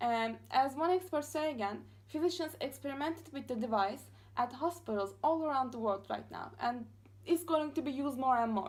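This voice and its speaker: Fairly quick, lively speech in a Turkish accent. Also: woman. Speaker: master's student. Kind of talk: class presentation. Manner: fast; halting, many fillers.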